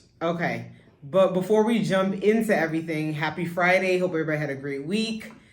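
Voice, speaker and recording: With audible room echo, a woman speaks at a fairly quick pace in a fairly low pitch with ordinary pitch variation. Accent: American. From New York, Brooklyn. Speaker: podcast co-host, business owner. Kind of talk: casual chat.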